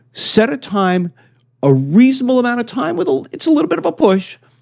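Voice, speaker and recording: In a quiet setting, a man with a dark, mellow tone speaks at a moderate pace, his pitch swinging very widely. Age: 60s. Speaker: business coach for loan officers. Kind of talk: motivational tip talk. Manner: casual, conversational.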